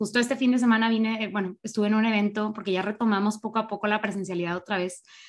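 Very fast and somewhat breathy, a woman with a fairly high pitch and ordinary pitch variation speaks in a very clean recording with a silent background. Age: 20s. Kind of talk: casual chat.

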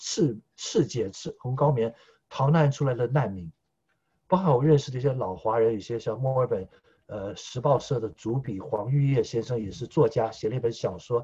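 A man with a medium pitch speaks at a moderate pace, with ordinary pitch variation. His tone is dark and mellow, and somewhat breathy. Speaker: political commentator. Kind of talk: casual chat. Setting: remote call.

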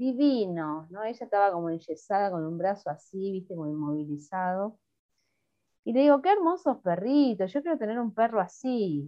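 A woman of medium pitch speaks at a moderate pace, her voice making very wide pitch swings and big swings in loudness. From Greater Buenos Aires, Argentina (La Matanza). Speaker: singer-songwriter. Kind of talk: casual interview. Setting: remote call.

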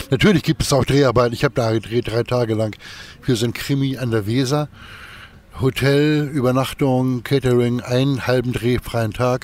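This man has an ordinary speaking voice, medium in pitch, with fairly even intonation and a moderate pace. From northern Germany, Kiel. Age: 50s. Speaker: actor and musician. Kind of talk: interview. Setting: outdoors in a park.

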